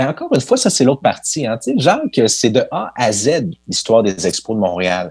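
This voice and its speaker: A man with a plain, everyday voice talks at medium pitch and a fairly slow pace. The recording is very clean, with a silent background. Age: 30s. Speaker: sports history podcaster. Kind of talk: interview.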